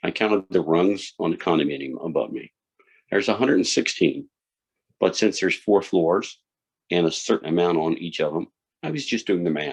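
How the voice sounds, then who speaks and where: A man's very deep, low voice at a moderate pace with ordinary pitch variation. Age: 60s. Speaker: speech contest contestant. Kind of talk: contest speech.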